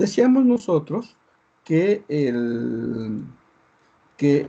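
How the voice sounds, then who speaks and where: A man talks with very wide pitch swings. His tone is dark and mellow. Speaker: university lecturer. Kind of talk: online lecture. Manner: hesitant, many fillers. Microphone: poor internet connection, audio breaking up.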